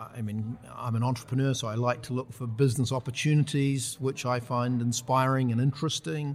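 With a New Zealand accent, a man talks at a medium pitch and a fairly quick pace, his voice somewhat breathy, his intonation fairly even, and hardly any pauses. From New Zealand, rural Taranaki and Waikato. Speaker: tech entrepreneur. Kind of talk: casual interview.

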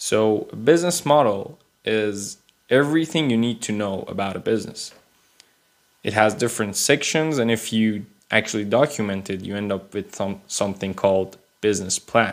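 A man's fairly low voice with ordinary pitch variation, on a very clean recording against a silent background. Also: moderate pace. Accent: Persian. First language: Persian. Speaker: podcast host. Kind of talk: solo explainer monologue. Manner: unscripted, with hesitations.

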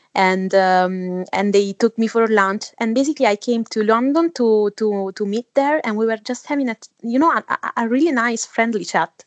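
A woman talks at a moderate pace with an Italian accent and hardly any pauses, her fairly high pitch varying in an ordinary way. The sound is dry and close, with no echo. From Italy. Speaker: 3D artist and author. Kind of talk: interview conversation. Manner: halting, many fillers.

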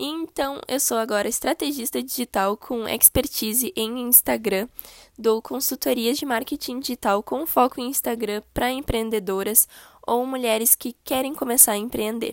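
The speech moves at a moderate pace. The recording is very clean with a silent background, and the sound is dry and close with no echo. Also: woman, high pitch for a woman, ordinary pitch variation. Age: 20s. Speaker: podcast host and digital marketing consultant. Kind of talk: podcast introduction monologue. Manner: casual, friendly.

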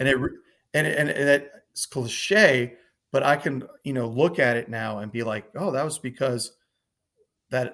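With an American accent, a man speaks in a normal speaking voice at a moderate pace, medium pitch and ordinary pitch variation. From US, Northern Virginia. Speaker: war veteran. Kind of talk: testimony. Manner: casual.

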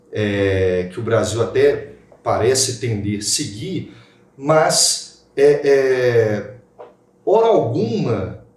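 A man's voice swings very widely in pitch, with audible room echo and noticeable background noise around it. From Minas Gerais, Brazil. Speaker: lawyer and podcast host. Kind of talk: casual panel discussion.

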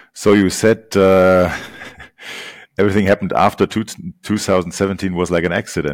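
In a very clean recording with a silent background and a dry, close sound with no echo, a man with a German accent speaks at a moderate pace in a very deep, low pitch. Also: long, frequent pauses. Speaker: podcast host. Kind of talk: interview with live translation.

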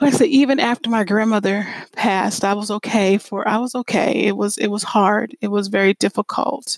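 With an American accent, a woman speaks fairly quickly at a fairly high pitch with fairly even intonation, in a dry, close sound with no echo. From Pennsylvania, Lancaster area. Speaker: minister and podcast host. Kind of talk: devotional podcast monologue.

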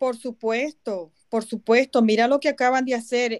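Fairly slow and fairly high-pitched, a woman with a Venezuelan accent speaks with fairly even intonation in a dry, close sound with no echo. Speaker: activist and movement coordinator. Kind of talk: interview.

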